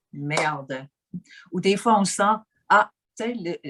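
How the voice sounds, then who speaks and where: Speaking very slowly with lively intonation, a woman is heard in a dry, close sound with no echo. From German-speaking Switzerland. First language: Swiss German (speaking French). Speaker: interviewee, life coach. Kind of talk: interview. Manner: halting, with many fillers and repetitions.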